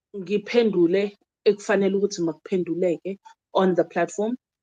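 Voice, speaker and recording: A woman speaks with a South African accent in a dark, mellow tone, at a moderate pace. Her intonation stays fairly even, and the sound is dry and close with no echo. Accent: South African, Zulu-speaking. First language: Zulu. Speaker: traditional healer and YouTuber. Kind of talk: casual monologue to viewers, Q and A. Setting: home video recording during load shedding. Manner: code-switching English and Zulu, hesitant with fillers.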